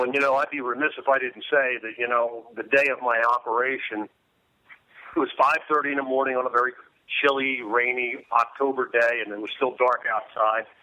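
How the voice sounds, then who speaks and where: In a normal speaking voice, a man of medium pitch talks at a fairly quick pace with fairly even intonation and an American accent. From Delaware, US. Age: 60s. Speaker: former football player and speaker. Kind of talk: interview.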